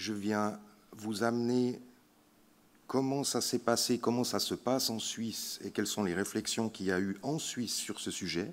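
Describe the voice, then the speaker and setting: Recorded very cleanly against a silent background, a man with a Swiss accent speaks at a medium pitch with ordinary pitch variation. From Switzerland (French-speaking). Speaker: palliative care physician. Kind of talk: conference talk. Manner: slow; hesitant, many fillers.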